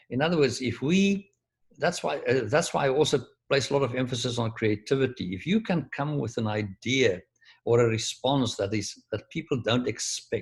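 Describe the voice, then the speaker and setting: A man with a medium pitch talks at a moderate pace. His voice is somewhat breathy, with lively intonation. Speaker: professor. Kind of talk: lecture. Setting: video call.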